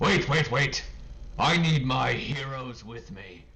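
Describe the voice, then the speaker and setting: Shouting in a booming put-on character voice, a man talks at a fairly slow pace and medium pitch over clear background noise. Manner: booming, shouting.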